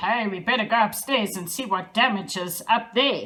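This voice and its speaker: A woman uses a put-on character voice at medium pitch and a moderate pace. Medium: read story.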